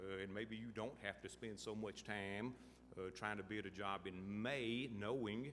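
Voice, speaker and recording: A man with an American accent, fairly low pitch, and fairly even intonation at a fairly slow pace, with audible room echo. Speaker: state transportation official. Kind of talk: conference panel talk.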